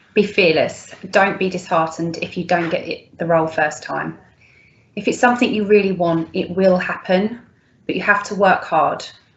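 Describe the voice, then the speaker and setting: At a medium pitch, a woman speaks at a moderate pace with fairly even intonation. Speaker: loss adjuster. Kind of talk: recorded advice message. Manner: loud.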